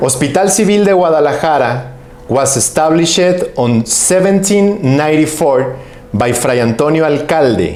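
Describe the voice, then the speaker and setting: A man with a Mexican accent talks at a fairly slow pace in a fairly high pitch, his intonation lively and his loudness very even, with noticeable background noise and audible room echo. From Mexico. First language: Spanish. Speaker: physician and professor. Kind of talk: conference presentation. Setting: online symposium. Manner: formal.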